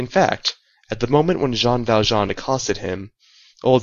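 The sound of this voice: Ordinary pitch variation in an unforced reading voice, with a quiet background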